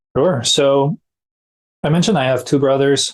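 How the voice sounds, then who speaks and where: A man speaks at a moderate pace with a French accent. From France, Brittany. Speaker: para-athlete. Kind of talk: interview.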